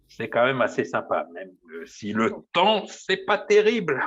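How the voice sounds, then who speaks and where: His loudness rises and falls in big swings. The man talks at a fairly slow pace. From Paris region, France. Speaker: baker. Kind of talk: interview. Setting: small room at work. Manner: hesitant, many fillers.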